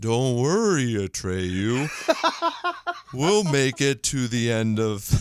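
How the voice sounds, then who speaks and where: Putting on a character voice at medium pitch, a man talks at a very slow pace with long, frequent pauses. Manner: gentle, reassuring.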